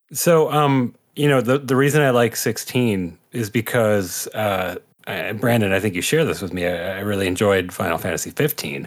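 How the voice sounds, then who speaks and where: Using a normal speaking voice, a man with a fairly low pitch talks at a moderate pace with lively intonation and hardly any pauses. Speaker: podcast co-host. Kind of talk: casual panel podcast banter.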